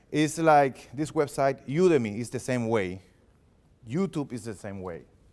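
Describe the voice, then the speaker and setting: With a strong non-native accent and lively intonation, a man talks at a moderate pace on a very clean recording with a silent background. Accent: heavy foreign. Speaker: filmmaker and production consultant presenting at a meetup. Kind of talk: workshop presentation. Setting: library meeting room with live audience. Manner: animated.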